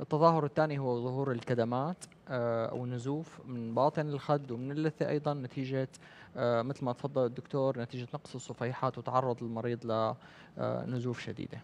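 Fairly even intonation from a man at a moderate pace. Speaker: oral medicine specialist. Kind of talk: medical expert talk. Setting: studio. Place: studio. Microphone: headset.

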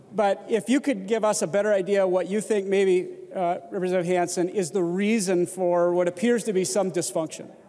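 A man with an American accent speaks at a fairly quick pace in a high voice, his intonation fairly even, his loudness very even, and hardly any pauses. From Minnesota. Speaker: state legislator. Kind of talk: legislative floor debate. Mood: measured, critical. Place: hall. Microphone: handheld.

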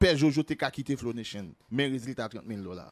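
A man speaks in an unremarkable speaking voice. His pace is fairly quick, with lively intonation. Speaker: video commentator on celebrity gossip. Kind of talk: angry rant, gossip commentary.

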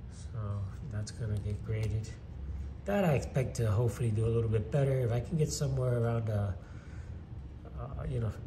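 A man speaks at a fairly quick pace in a dark, mellow tone with vocal fry and very wide pitch swings, over noticeable background noise. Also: fairly low pitch for a man. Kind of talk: casual show-and-tell commentary. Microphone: phone near.

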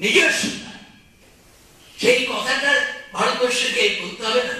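An extremely high-pitched man's voice with ordinary pitch variation rings out in strong room echo. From West Bengal, India. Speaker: politician and lawyer. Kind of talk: public speech. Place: hall. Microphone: pa.

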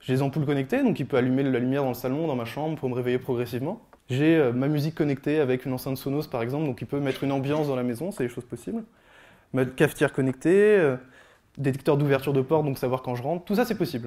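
Very fast, a man speaks with a dark, mellow tone and ordinary pitch variation. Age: 20s. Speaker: software developer giving a tech talk; speaker. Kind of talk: presentation talk. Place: hall. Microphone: handheld.

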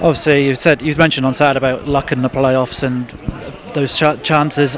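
A man speaks at a moderate pace with a medium pitch and a fairly bright tone. His pitch moves little, and faint background noise can be heard.

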